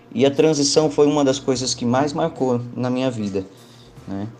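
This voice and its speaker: A man speaks at a moderate pace with fairly even intonation. Noticeable background noise runs behind him. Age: 30s. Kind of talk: testimony.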